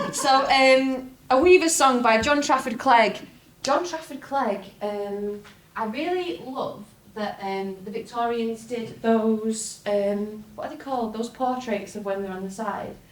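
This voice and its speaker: A woman with a northern English accent speaks at a fairly slow pace and a fairly high pitch, with ordinary pitch variation. Her loudness swings widely, and there is noticeable background noise. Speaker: folk singer. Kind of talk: folk talk to live audience. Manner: lively, chatty.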